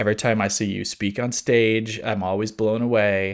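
A plain, everyday voice from a man at fairly low pitch and moderate pace, in a very clean recording with a silent background. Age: 40s. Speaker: podcast host. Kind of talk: casual chat.

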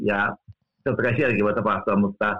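A man with an ordinary speaking voice, fairly low in pitch, at a moderate pace. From Finland. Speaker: theology professor. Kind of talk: interview. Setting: remote call.

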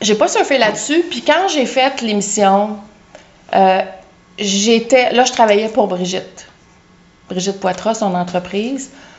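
Very slow speech from a woman, broken by long, frequent pauses. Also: fairly high pitch for a woman. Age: 50s. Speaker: home stager and interior designer. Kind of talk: casual interview. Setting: outdoors in a backyard.

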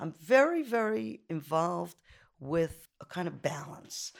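In a very clean recording with a silent background, a woman with a New York accent speaks at a fairly low pitch with vocal fry. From Brooklyn, New York (Canarsie). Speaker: photographer and art professor. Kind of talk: interview. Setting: her studio.

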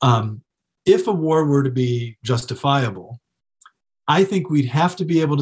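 Somewhat breathy and pitched fairly high, a man with an American accent speaks with lively intonation. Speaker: philosophy professor. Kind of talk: interview. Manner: hesitant.

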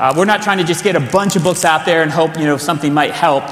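A man speaks in a high pitch with ordinary pitch variation. Noticeable background noise is present. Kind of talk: conference teaching. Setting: church conference.

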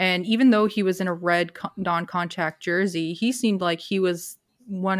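A woman speaks in a normal speaking voice with fairly even intonation. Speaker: co-host. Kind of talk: casual sports chat.

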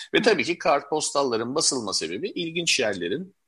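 A man with a bright, sharp tone and lively intonation speaks over a quiet background. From Istanbul, Turkey (Levantine family). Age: 50s. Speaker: collector and publisher. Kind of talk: interview.

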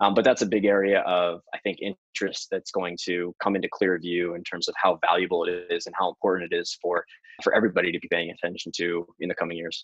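In an American accent, the speaker races at a very fast pace, the sound dry and close with no echo. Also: man. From US. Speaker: venture investor. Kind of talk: interview.

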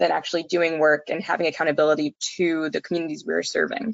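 A woman's fairly low voice with vocal fry, fairly even intonation and a very fast pace. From Bangladeshi background. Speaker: environmental research associate. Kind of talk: interview.

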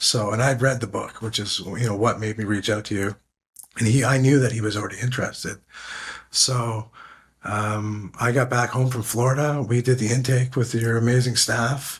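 Somewhat breathy, this man talks with a Canadian accent. His intonation stays fairly even. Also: medium pitch for a man, moderate pace. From Canada. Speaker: military veteran. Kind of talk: interview conversation. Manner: halting.

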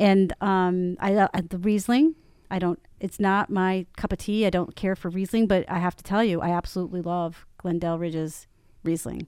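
Dark and mellow in tone, a woman's medium-pitched voice comes through a very clean recording with a silent background and a dry, close sound with no echo. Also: moderate pace, big swings in loudness. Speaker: podcast host. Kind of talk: casual interview chat. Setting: studio. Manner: animated, warm.

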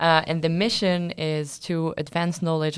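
At a moderate pace, a woman with a French accent speaks in a fairly low voice on a very clean recording with a silent background. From France. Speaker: master's student. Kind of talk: casual chat.

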